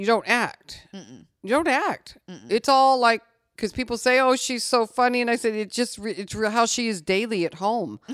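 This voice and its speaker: With an American accent and an ordinary speaking voice, a woman speaks at a moderate pace and fairly high pitch, with ordinary pitch variation and big swings in loudness. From Missouri, small town near St. Louis. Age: 60s. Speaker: podcast guest, businesswoman and real estate broker. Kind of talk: casual chat.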